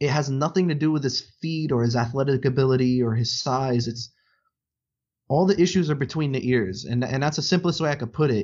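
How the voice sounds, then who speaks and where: Somewhat breathy, a man talks at a medium pitch and a moderate pace, with ordinary pitch variation. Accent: American. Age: 20s. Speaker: sports podcast host. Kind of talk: casual chat.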